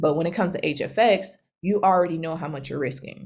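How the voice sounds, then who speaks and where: Over a silent background in a very clean recording, a woman with a very deep, low pitch speaks at a fairly quick pace with fairly even intonation. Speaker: trading educator. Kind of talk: tutorial. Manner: fast.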